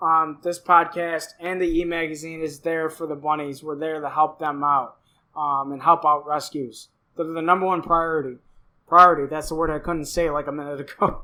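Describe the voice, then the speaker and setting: A man's fairly high, bright and sharp voice at a moderate pace, flat and monotone, on a very clean recording with a silent background. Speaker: podcast host. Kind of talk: casual podcast monologue. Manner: halting, many fillers and restarts.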